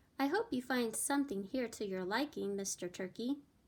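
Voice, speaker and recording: Doing a put-on character voice, a woman speaks at a moderate pace with a high pitch, a warm tone and lively intonation. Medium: read story. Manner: warm, gracious.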